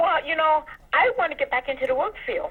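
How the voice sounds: A woman speaks at a fairly quick pace in a high pitch. Her pitch varies in an ordinary way.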